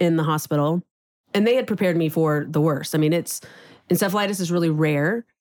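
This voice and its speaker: On a very clean recording with a silent background, a woman with an American accent has a plain, everyday voice, a fairly low pitch, and ordinary pitch variation. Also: dry, close sound with no echo. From Texas, Houston. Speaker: restaurant co-owner. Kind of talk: casual chat.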